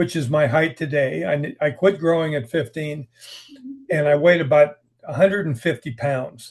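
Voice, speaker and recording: Against a quiet background, a man with an American accent speaks at a moderate pace in a fairly high, somewhat breathy voice with ordinary pitch variation. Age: 70s. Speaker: writer. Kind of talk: interview. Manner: conversational, hesitant repetitions.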